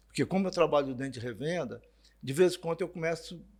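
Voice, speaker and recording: This man's speech races along very quickly. For a man, his voice sits fairly high. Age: 60s. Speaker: motorcycle dealership sales director. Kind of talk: podcast interview. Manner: casual conversational.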